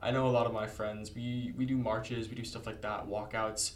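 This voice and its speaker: Over noticeable background noise, a man with an American accent speaks at a fairly quick pace and medium pitch in a flat monotone. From California, Santa Monica. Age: 18. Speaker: youth governor delegate. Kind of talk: interview.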